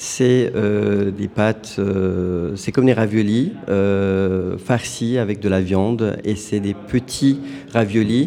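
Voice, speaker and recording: A man's fairly low, fairly even voice over noticeable background noise. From Turkey. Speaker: food truck owner. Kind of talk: radio interview.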